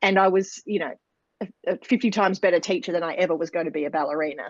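A woman with an Australian accent, medium pitch and lively intonation, over a quiet background in a dry, close sound with no echo. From Australia, rural New South Wales. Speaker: dance school principal and business coach. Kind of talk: interview.

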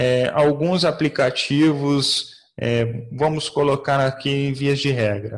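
This man's fairly high voice is somewhat breathy and shows ordinary pitch variation. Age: 30s. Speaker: investment expert. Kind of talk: explanatory interview.

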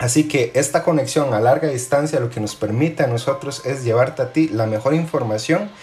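Against noticeable background noise, the speech moves at a fairly quick pace with hardly any pauses. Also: man, medium pitch for a man, ordinary pitch variation. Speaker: podcast host, finance brand co-founder. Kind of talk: casual interview. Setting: remote call.

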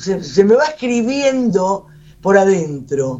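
Pitch leaps and drops over a very wide range. Delivery is very slow. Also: woman. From Buenos Aires. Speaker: writer and poet. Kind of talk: radio interview.

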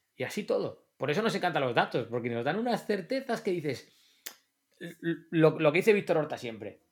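At a moderate pace, a man with a high voice talks in very wide pitch swings. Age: 40s. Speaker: football coach. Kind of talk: casual chat.

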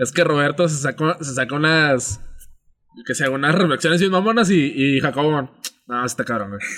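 Bright and sharp in tone, a man speaks at a fairly high pitch. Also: ordinary pitch variation, moderate pace. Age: 20s. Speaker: podcast co-host and editor. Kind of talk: casual chat.

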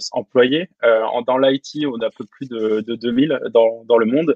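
A man's medium-pitched voice at a very slow pace. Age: 20s. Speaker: design system lead. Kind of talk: interview.

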